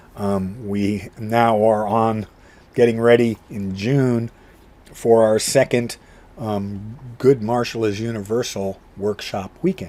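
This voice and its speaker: A very slow, fairly low male voice with a dark, mellow tone and fairly even intonation. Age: 60s. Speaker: martial arts instructor. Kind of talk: vlog monologue. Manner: halting.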